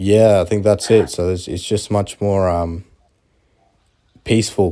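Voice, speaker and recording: With an Australian accent, a man speaks at a fairly slow pace in a dark, mellow tone and monotone, flat intonation, on a very clean recording with a silent background. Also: fairly low pitch for a man. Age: 20s. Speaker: aviation student interviewee. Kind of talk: casual interview. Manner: hesitant, many fillers.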